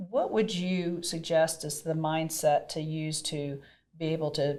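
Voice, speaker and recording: Fairly even intonation and a fairly slow pace, with a slight Southern US accent. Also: woman. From US South, Mississippi. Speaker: podcast host, real estate broker. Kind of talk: interview conversation.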